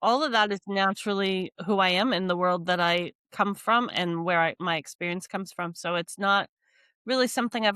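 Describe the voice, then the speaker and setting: In a Californian accent, a woman speaks at a moderate pace and medium pitch with ordinary pitch variation and a bright, sharp tone, in a dry, close sound with no echo on a very clean recording with a silent background. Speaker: business coach and podcast host. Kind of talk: interview conversation.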